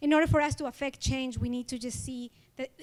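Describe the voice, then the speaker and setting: A woman with an Ecuadorian accent speaks fairly quickly at a high pitch. Her intonation is monotone and flat. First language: Spanish. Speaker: award honoree, community organizer. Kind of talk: award acceptance speech. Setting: event hall with audience.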